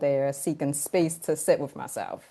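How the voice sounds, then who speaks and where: With a Baltimore accent, a woman talks at a moderate pace in a dark, mellow tone. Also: quiet background. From Baltimore, Maryland. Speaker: podcast co-host and coach. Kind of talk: personal introduction.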